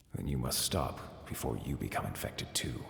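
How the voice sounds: Growling in a very deep, low voice, a man performs a cartoonish character voice with slight echo. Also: moderate pace.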